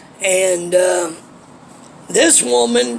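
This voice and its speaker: A man with high pitch speaks with an American accent. Audible room echo and noticeable background noise surround him. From Ohio, US Midwest. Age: 40s. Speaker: homeless vlogger. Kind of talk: personal life story monologue. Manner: casual, hesitant with fillers.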